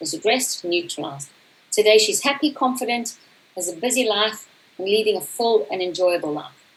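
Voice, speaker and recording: Fairly high-pitched and fast-moving, a woman's voice swings very widely in pitch against noticeable background noise. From South Africa. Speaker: coach. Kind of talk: conference talk.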